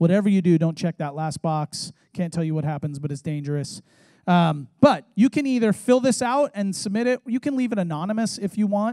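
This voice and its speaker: A man with an American accent talks fairly quickly in a high voice with very wide pitch swings against a quiet background. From San Diego, California; California. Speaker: youth pastor; pastor. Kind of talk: sermon. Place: church. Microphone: handheld.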